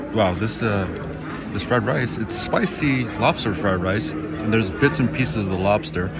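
Loud music plays in the background of a dry sound with no echo. A man talks at a moderate pace. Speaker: food vlogger. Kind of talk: casual vlog chat. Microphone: phone near.

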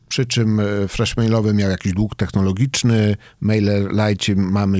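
A man with a fairly low pitch and an ordinary speaking voice talks at a fairly slow pace with fairly even intonation, in a dry sound with no echo. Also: quiet background. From Poland, Elbląg (Warmia); Poland. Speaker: tech company CEO; podcast guest. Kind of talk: interview. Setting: studio. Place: studio. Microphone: studio mic.

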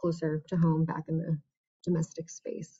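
With an American accent, the speaker talks at a moderate pace in a monotone, flat intonation against a quiet background. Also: woman. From New York City. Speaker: poet. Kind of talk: poetry reading. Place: home room. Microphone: webcam.

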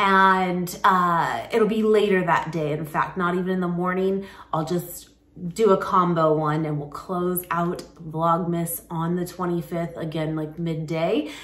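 The speech moves at a fairly slow pace with fairly even intonation. Audible room echo is present. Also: woman, fairly low pitch for a woman. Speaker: vlogger. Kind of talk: casual vlog chat. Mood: relaxed, cheerful. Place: kitchen. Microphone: phone near.

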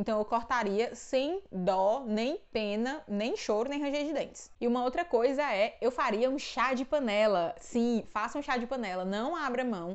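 Speaking fairly slowly, a woman uses a high pitch. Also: quiet background. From Brazil, Ceará (Northeast). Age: 20s. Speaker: book and theology YouTuber; theology YouTuber. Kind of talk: casual Q&A vlog. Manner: casual, chatty with fillers. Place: home room. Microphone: lapel.

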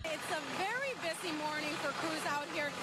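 A woman's voice over loud background noise. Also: dry sound with no echo. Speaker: TV news reporter. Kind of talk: TV news report. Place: street. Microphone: handheld.

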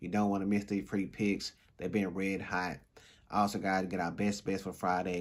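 A man speaks in a very deep, low voice. His intonation stays fairly even. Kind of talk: casual promo and picks commentary.

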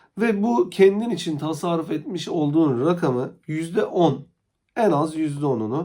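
His intonation is lively. The man's tone comes across dark and mellow. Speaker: stock market YouTuber. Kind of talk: solo market commentary vlog. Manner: hesitant, frequent filler sounds.

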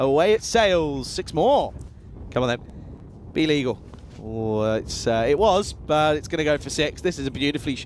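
A man's fairly high voice, animated in tone with lively intonation and long, frequent pauses. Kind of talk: cricket commentary. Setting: commentary over match video. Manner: animated, excitable play-by-play, quick and jokey; conversational banter with a co-commentator.

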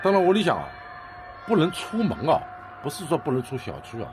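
A man with a Shanghainese accent speaks at a fairly quick pace while clear music plays in the background. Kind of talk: amateur phone video narration. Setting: outdoors, high-rise apartment. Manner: agitated, alarmed. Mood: worried, grim. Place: street. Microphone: phone near.

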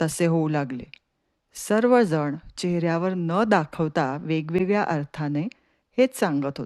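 Against a quiet background, a woman with a fairly low pitch uses lively intonation in a dry, close sound with no echo. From Pune, Maharashtra. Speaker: storyteller. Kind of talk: storytelling.

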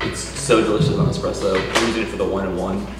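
A man's voice carries audible room echo, with clear music in the background. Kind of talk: casual vlog chat. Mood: upbeat, relaxed. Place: cafe.

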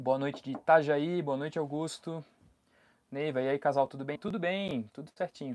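Moderately paced speech from a man, fairly high in pitch, with ordinary pitch variation. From Brazil. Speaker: travel vlogger. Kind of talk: live stream chat. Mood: relaxed, friendly. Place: home room. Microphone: lapel.

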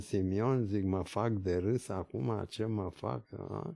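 Against a quiet background, a man speaks at a very slow pace. His voice is fairly low and dark, mellow in tone, with ordinary pitch variation. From Bulgaria, then Paris and Romania. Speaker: neurology professor; interview guest. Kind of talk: interview anecdote. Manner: halting. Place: office. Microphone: studio mic.

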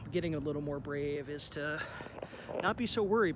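A man at a moderate pace, dry sound with no echo, and noticeable background noise. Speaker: vlogger documenting an abandoned plant. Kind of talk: casual vlog chat. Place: street. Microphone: phone near.

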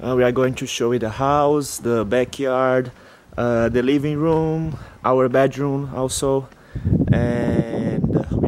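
A man with a non-native accent, medium in pitch, very slow and flat in monotone, over noticeable background noise. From Brazil. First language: Portuguese. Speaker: exchange student. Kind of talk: casual vlog house tour. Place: street. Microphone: phone near.

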